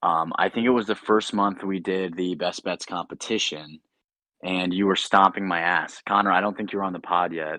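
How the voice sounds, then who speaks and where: In a quiet background, a man with a very deep, low pitch and a bright, sharp tone speaks at a moderate pace with fairly even intonation. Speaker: podcast co-host. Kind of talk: casual chat. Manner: monotone.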